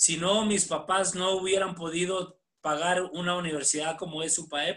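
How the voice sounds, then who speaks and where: Speaking at a fairly slow pace, a man uses a high pitch with monotone, flat intonation. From Mexico, Chihuahua (Ciudad Camargo). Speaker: basketball coach. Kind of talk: interview. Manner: halting, many repetitions.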